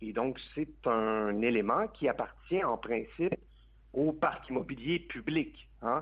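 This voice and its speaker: Speaking very slowly, a man uses a medium pitch with lively intonation and vocal fry. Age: 30s. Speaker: advocacy group president. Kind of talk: radio interview.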